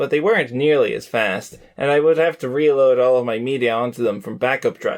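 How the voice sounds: Reading aloud in a natural voice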